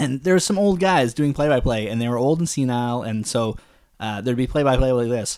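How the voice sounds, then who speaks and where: A man with a Canadian accent speaks at a fairly quick pace with ordinary pitch variation. He has an unremarkable speaking voice. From Canada. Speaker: podcast co-host, father. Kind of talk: casual chat.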